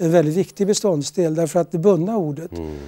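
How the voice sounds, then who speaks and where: A man speaks in a dark, mellow tone with ordinary pitch variation. The sound is dry and close, with no echo. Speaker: retired international lawyer and diplomat. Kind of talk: interview.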